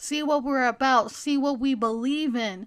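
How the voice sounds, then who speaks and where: Pitch moves in an ordinary way, captured in a very clean recording against a silent background. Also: woman. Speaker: Wiccan YouTuber. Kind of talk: explainer video. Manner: animated.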